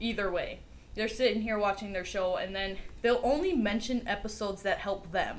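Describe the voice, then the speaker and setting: A woman talks with fairly even intonation. Audible room echo and noticeable background noise are present. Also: medium pitch for a woman, moderate pace. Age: young. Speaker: podcast co-host. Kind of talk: casual chat.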